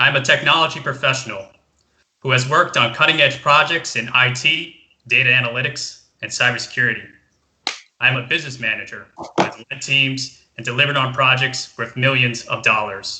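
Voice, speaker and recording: A man speaks in an ordinary speaking voice with an American accent. His pitch is medium, his intonation fairly even and his pace fairly quick. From Southeast Asia. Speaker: political candidate. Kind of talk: campaign speech.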